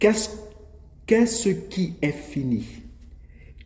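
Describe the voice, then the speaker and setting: Audible room echo surrounds a man speaking at a very slow pace. His voice is somewhat breathy, with lively intonation. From Gabon. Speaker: preacher. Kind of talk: sermon.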